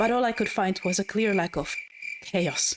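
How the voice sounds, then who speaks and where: The pitch of the woman's speech varies in an ordinary way. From Spain. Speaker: video essayist. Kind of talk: scripted commentary narration.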